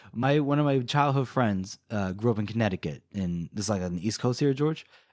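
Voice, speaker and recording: A man with an American accent speaks at a medium pitch and a fairly quick pace, his intonation lively. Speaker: podcast co-host. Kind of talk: casual chat.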